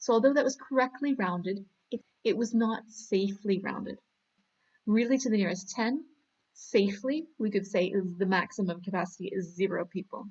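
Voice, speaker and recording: The voice is somewhat breathy, with a Canadian accent. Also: woman, medium pitch for a woman, ordinary pitch variation, moderate pace. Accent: Canadian accent, sounds American to some. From Canada. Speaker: maths teacher. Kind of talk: tutorial. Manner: animated.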